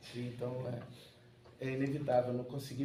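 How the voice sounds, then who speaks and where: A man speaks in a dark, mellow tone that is somewhat breathy. Audible room echo surrounds his voice. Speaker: pastor and political adviser. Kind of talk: conference panel talk.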